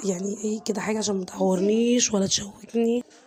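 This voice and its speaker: Here is a woman with a medium-pitched voice. Noticeable background noise runs under her speech. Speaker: home cooking vlogger. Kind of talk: cooking tutorial. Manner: casual, chatty.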